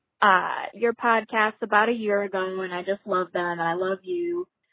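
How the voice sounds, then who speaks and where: A woman with a normal speaking voice at a fairly slow pace, with ordinary pitch variation. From Minnesota. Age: 20s. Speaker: caller. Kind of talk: recorded voicemail question.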